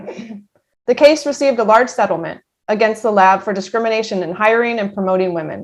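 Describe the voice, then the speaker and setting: This woman has an ordinary speaking voice with an American accent and a fairly high pitch. She talks at a fairly quick pace, her pitch varying in an ordinary way. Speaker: army veteran. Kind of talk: personal story reading.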